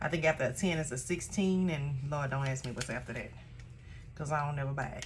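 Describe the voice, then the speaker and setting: A woman speaks at a very fast pace with a very deep, low pitch, somewhat breathy, with ordinary pitch variation. There is audible room echo. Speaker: craft tutorial creator, small shop owner. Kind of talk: tutorial. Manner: casual, chatty; lowered, relaxed voice.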